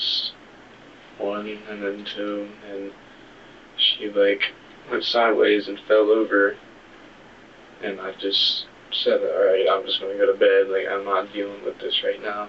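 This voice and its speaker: Soft-spoken, a man talks with long, frequent pauses. There is noticeable background noise. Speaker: murder suspect. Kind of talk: police interrogation. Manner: halting.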